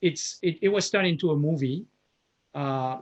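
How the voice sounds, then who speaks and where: Speaking with a French accent, a man uses a fairly high pitch against a quiet background. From France. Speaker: professor. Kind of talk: lecture. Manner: halting, with frequent fillers.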